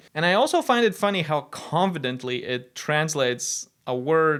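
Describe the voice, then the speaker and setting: A man with a Latvian accent at a fairly slow pace, on a very clean recording with a silent background. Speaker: tech video presenter. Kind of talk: tech demo narration.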